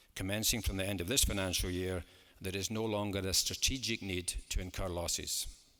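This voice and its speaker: On a very clean recording with a silent background, a man with a very deep, low pitch and a bright, sharp tone speaks at a fairly quick pace with fairly even intonation. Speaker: football club chairman. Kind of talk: formal AGM speech to shareholders. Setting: large hall with an audience. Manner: measured, formal.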